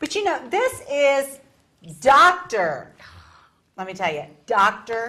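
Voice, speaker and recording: A woman in a Virginia accent, her pitch swinging very widely. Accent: Virginia Southern US. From Richmond, Virginia. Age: middle-aged. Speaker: talk show co-host. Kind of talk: casual chat.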